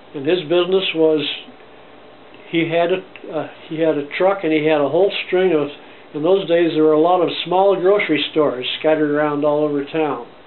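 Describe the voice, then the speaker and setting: Audible room echo and noticeable background noise surround a man's voice. He speaks at a moderate pace in a fairly high pitch, with fairly even intonation. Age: 90s. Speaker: grandfather interviewed by grandson. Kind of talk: oral history interview. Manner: halting.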